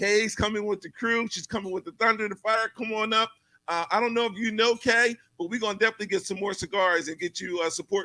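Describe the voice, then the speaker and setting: With music playing in the background, a man talks in a raised, projected voice at a high pitch, with an animated tone, a fairly quick pace and a dry, close sound that has no echo. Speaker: talk show host. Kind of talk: casual live show interview. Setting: live studio set. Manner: loud.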